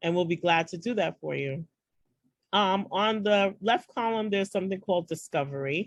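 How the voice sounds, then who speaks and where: A woman speaks with a New York accent at a moderate pace. Her pitch variation is ordinary. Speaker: founder of a women's networking group. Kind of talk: online orientation walkthrough. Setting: video call. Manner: hesitant, many fillers.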